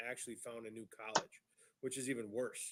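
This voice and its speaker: A man is speaking. His pace is fairly quick. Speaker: podcast co-host. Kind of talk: casual chat. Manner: quiet.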